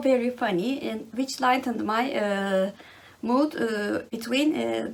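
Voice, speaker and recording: A woman speaks with a Turkish accent. Noticeable background noise is present. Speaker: book vlogger. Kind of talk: casual monologue. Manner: halting, many fillers.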